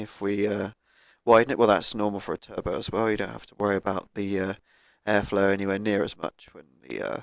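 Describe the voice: A man speaks with vocal fry and ordinary pitch variation. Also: fairly low pitch for a man, fairly quick pace.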